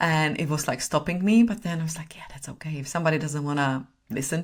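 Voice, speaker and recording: The woman's pitch is very deep and low. She speaks with a non-native accent. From Czech Republic. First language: Czech. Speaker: personal brand strategist and photographer. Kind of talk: podcast interview.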